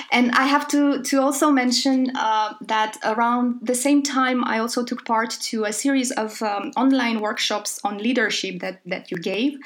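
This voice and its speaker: Against noticeable background noise, a high-pitched woman speaks at a moderate pace with ordinary pitch variation and hardly any pauses. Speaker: podcast host. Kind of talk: casual chat.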